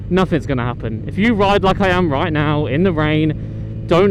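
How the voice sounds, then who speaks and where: A man with a British accent and a high pitch talks at a fairly quick pace, with noticeable background noise and audible room echo. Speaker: motorcycle vlogger. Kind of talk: motovlog commentary while riding. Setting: riding a motorcycle outdoors. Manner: loud.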